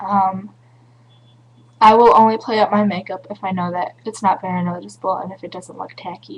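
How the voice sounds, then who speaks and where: At a moderate pace, a somewhat breathy woman speaks with an American accent and fairly even intonation. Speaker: beauty vlogger. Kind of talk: tutorial. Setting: home webcam recording.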